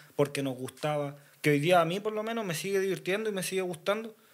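A man talks with a Chilean accent. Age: 20s. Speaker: freestyle rapper. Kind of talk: casual chat.

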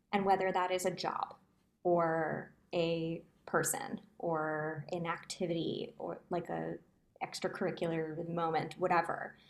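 A normal speaking voice in an American accent, with fairly even intonation. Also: woman, fairly low pitch for a woman, fairly slow pace. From New Jersey. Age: 20s. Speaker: musical theatre performer. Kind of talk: casual chat.

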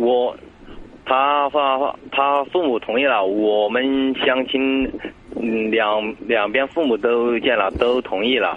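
A man with a medium-pitched voice speaks very slowly at a very even volume, his intonation fairly even, over noticeable background noise. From Sichuan, China. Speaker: caller seeking relationship advice. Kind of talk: phone-in advice call. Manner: halting, hesitant.

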